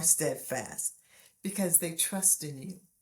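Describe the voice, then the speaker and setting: Lively intonation from a woman, her voice somewhat breathy. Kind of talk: faith-based teaching message to camera.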